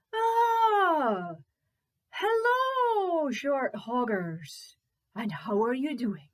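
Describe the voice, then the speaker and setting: In a put-on character voice, the speaker talks at a very slow pace with very wide pitch swings. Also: woman, high pitch for a woman. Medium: read story.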